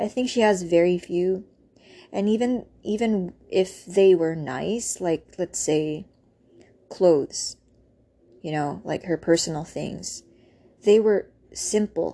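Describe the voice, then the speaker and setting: Against a quiet background, a woman with a medium pitch and a dark, mellow tone speaks very slowly with long, frequent pauses and ordinary pitch variation. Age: 30s. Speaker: vlogger. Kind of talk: personal monologue. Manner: halting, many fillers.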